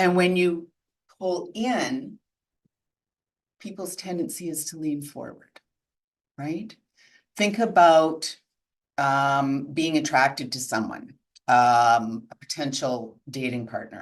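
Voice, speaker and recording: A loud woman speaks at a very deep, low pitch with very wide pitch swings. Her pace is very slow, broken by long, frequent pauses. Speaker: integrative coach. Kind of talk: webinar talk. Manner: loud, projecting.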